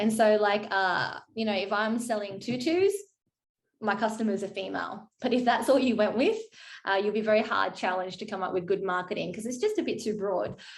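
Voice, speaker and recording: Fairly quick speech from a woman with a fairly high voice, fairly even intonation and audible room echo. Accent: Australian. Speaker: marketing consultant. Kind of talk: workshop presentation. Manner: fast.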